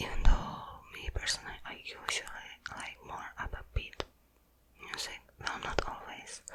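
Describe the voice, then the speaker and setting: Whispering from a woman, noticeable background noise all around. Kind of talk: ASMR whispered ramble. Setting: close-up microphone. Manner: whispered.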